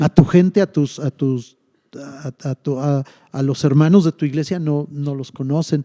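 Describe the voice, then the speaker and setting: Recorded with a dry, close sound and no echo, a man speaks at a fairly slow pace with a fairly high pitch, a dark, mellow tone and fairly even intonation. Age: 60s. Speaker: pastor. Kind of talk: casual chat.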